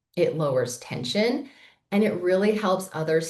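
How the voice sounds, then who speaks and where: A woman's somewhat breathy voice moves fairly slowly, her intonation lively. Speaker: accountant and finance executive giving a training session. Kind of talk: webinar presentation. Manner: casual with filler words.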